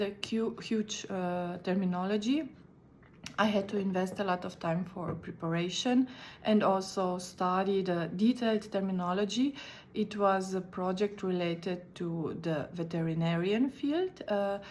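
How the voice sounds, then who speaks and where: A woman with a Slovene accent, at a moderate pace and with ordinary pitch variation. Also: medium pitch for a woman. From Slovenia. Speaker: conference interpreter. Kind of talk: recorded video talk. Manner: halting.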